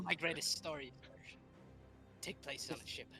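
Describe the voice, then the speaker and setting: Over clear music in the background, a man uses a put-on character voice at a fairly high pitch and a moderate pace. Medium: actual play.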